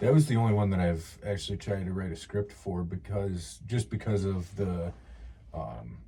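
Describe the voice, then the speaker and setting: With a dark, mellow tone and a very deep, low pitch, a man speaks at a moderate pace, somewhat breathy, his intonation lively. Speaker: outdoors podcast co-host. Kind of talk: casual chat. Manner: stutters at times.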